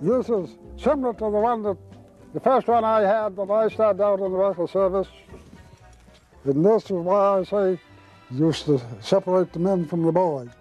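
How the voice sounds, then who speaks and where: Music plays behind a man speaking at a moderate pace with long, frequent pauses. His pitch is high, with ordinary variation. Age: 70s. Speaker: tow truck driver. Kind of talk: interview answer.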